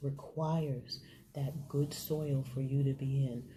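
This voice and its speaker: Soft-spoken and somewhat breathy, a woman speaks at a very slow pace in a very deep, low pitch with a dark, mellow tone and audible room echo. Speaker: faith vlogger. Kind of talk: inspirational talk. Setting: hotel room.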